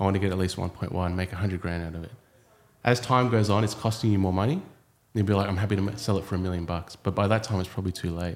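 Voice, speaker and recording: A man with an Australian accent at a very fast pace and fairly low pitch. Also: fairly even intonation. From Australia, Sydney. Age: 30s. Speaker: property developer. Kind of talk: casual chat.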